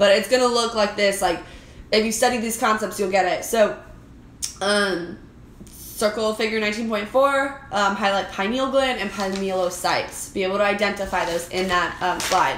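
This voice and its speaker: There is audible room echo and noticeable background noise. A woman speaks at a medium pitch with fairly even intonation. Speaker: anatomy and physiology instructor. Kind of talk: exam review tutorial. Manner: fast.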